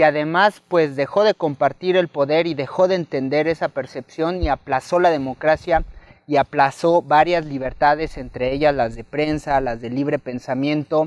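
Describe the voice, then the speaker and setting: A man's ordinary speaking voice at a fairly high pitch and a moderate pace, with fairly even intonation, hardly any pauses and a dry, close sound with no echo. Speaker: interviewer. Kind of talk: interview. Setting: literary festival.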